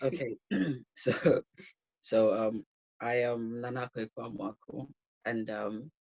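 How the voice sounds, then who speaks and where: The speech is very slow, broken by long, frequent pauses. It comes with a Ghanaian accent and fairly even intonation. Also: man, medium pitch for a man. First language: Twi. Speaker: university student. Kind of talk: casual interview chat. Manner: hesitant, many fillers.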